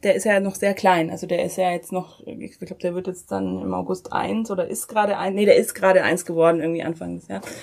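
The woman talks at a fairly quick pace on a very clean recording with a silent background. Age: 30s. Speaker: politician. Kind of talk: interview. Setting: coworking space.

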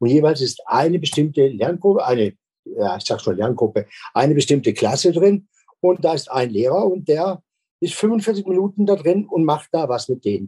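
A man's fairly high voice with very wide pitch swings, a dark, mellow tone and a moderate pace. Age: 60s. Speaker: school principal. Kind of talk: interview.

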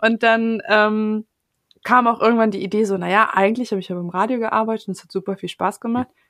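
A woman talks at a very fast pace with a fairly high pitch and fairly even intonation. Her loudness swings widely, and the sound is dry and close with no echo. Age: 20s. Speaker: podcast editor. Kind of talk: casual chat.

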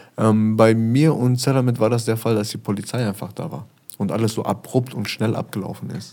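Dark, mellow tone with ordinary pitch variation and a fairly quick pace. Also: man, medium pitch for a man. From Germany, Essen (Ruhr area). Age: 30s. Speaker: rapper. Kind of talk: interview.

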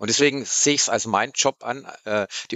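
Speaking at a fairly quick pace, a man with an ordinary speaking voice keeps his intonation fairly even. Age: 50s. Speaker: PR manager. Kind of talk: casual interview. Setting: studio.

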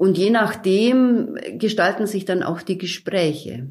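A woman talks in a calm tone. Her pitch varies in an ordinary way. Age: 50s. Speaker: hospital chaplain. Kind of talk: interview.

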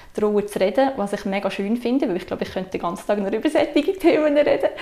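Her pace is very fast. The woman has a fairly high pitch and a dark, mellow tone. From Switzerland, Sursee region (canton Lucerne). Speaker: mother sharing natural parenting experience. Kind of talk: casual conversation.

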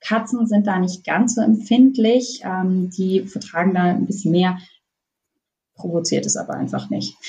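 A woman of medium pitch speaks at a fairly slow pace. Her voice is somewhat breathy, with fairly even intonation. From northern Germany. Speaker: veterinarian specializing in pet nutrition. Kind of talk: interview.

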